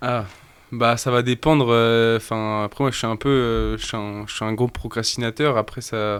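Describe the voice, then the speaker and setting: In a very clean recording with a silent background, a man talks at a fairly slow pace, medium in pitch, his intonation monotone and flat. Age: 20s. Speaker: rapper. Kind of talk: casual chat. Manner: halting.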